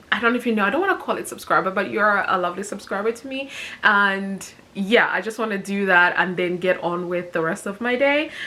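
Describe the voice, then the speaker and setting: Noticeable background noise sits under the speech. The delivery is fairly quick, with ordinary rises and falls in pitch. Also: woman, medium pitch for a woman. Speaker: personal finance vlogger. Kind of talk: casual vlog talking to camera. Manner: mumbling.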